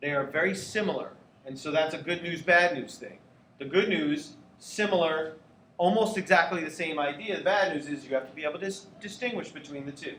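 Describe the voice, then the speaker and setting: A man with a fairly high pitch and ordinary pitch variation speaks at a fairly quick pace, his loudness swinging widely. Audible room echo and noticeable background noise surround him. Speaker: geometry teacher. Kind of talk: classroom lecture.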